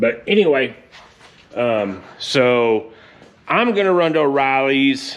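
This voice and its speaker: Over noticeable background noise, a man at a medium pitch speaks very slowly with lively intonation and long, frequent pauses. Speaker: car hobbyist vlogger. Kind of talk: casual vlog talk. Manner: loud, yelling.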